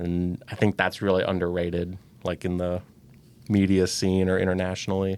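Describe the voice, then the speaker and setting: In an American accent, a man speaks at a moderate pace with a very deep, low pitch and monotone, flat intonation. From US Midwest, Saint Louis. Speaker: volunteer driver. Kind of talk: podcast interview.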